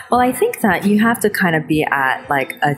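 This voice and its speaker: A woman talks at a fairly quick pace with lively intonation. Noticeable background noise runs underneath. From New Jersey, US. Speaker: chef and TV host. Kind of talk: interview. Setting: hotel lobby.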